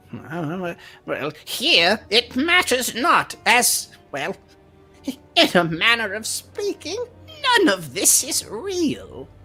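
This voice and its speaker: In a put-on character voice, a female-sounding speaker talks at a very slow pace with fairly high pitch over faint background music. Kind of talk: fantasy role-play acting. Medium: actual play. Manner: archaic, hesitant, grandmotherly, says "dearie".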